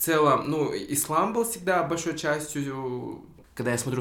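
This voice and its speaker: A man talks with ordinary pitch variation amid noticeable background noise and audible room echo. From Kyrgyzstan, Tokmok. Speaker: content creator. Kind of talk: casual chat. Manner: animated.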